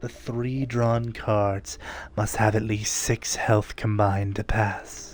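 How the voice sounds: Fairly even intonation marks this natural reading voice.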